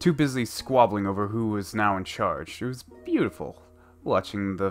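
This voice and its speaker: Over music in the background, a man speaks at a moderate pace and a medium pitch. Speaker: story reader. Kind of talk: read story.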